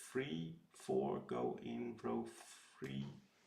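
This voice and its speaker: A man with a strong Dutch accent talks at a very slow pace. Audible room echo is in the recording. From Netherlands. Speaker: puzzle streamer. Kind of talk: live stream puzzle solving. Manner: hesitant, many fillers.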